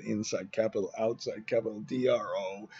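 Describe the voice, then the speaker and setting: With music in the background, a man talks at a fairly slow pace. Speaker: financial modelling instructor. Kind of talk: tutorial. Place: garden. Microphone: webcam.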